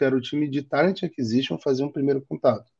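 A man speaks at a very fast pace with a medium pitch against a quiet background. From Rio de Janeiro, Brazil. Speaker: design manager. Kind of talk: interview.

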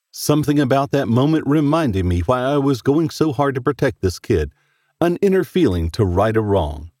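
A man speaks in a dark, mellow tone with a dramatic delivery and very wide pitch swings. His loudness holds very even, and the sound is dry and close with no echo. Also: medium pitch for a man, moderate pace, very clean recording, silent background. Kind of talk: horror fiction reading. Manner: dramatic, suspenseful narration.

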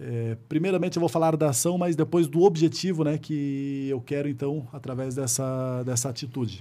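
A man with a fairly high pitch and a dark, mellow tone sounds somewhat breathy. He speaks at a moderate pace with ordinary pitch variation. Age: 30s. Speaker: city councillor and volunteer firefighter. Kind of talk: interview conversation.

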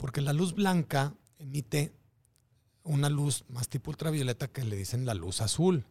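Somewhat breathy delivery with lively intonation and big swings in loudness. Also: man, fairly high pitch for a man. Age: 40s. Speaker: biohacker and fitness trainer. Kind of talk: casual interview. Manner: halting, repeats words.

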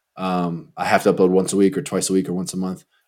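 In a very clean recording with a silent background, a man with a very deep, low pitch talks at a fairly quick pace. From Texas, Houston suburbs. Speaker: travel content creator. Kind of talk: casual chat.

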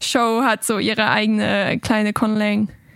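The woman here has a fairly high pitch. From Germany. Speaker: linguist. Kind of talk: interview.

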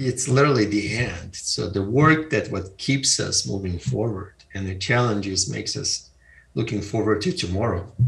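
A man's fairly low voice comes through somewhat breathy. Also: lively intonation, moderate pace. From Eastern Europe (Ukraine, former Soviet Union). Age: 50s. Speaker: entrepreneur and author. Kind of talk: interview.

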